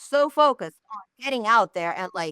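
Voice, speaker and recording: A woman speaks at a moderate pace in a bright, sharp tone, her pitch swinging very widely, with a dry, close sound and no echo. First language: not English. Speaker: healthcare data executive. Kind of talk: podcast interview.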